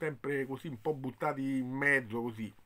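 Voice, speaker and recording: A man speaks at a moderate pace. His intonation stays fairly even. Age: 50s. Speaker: football commentator. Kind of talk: video commentary. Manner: hesitant, with fillers. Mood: disappointed, resigned. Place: home room. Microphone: phone near.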